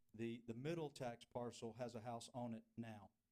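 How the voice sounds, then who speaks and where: A man speaks with a Southern US accent. His medium-pitched voice keeps a fairly even intonation. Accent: US South. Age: 60s. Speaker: property applicant. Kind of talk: public hearing presentation. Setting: city council meeting. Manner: halting.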